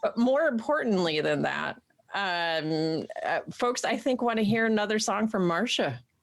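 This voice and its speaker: Her pitch fairly high and swinging very widely, a woman speaks at a very even loudness. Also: fairly slow pace. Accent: American. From Central New York. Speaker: co-host reading viewer comments. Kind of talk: live-streamed casual chat show. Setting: live stream. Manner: animated.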